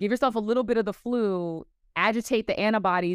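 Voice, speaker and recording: At a fairly quick pace, a woman with an ordinary speaking voice and ordinary pitch variation talks against a quiet background in a dry, close sound with no echo. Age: 30s. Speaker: travel community founder and media host. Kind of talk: interview.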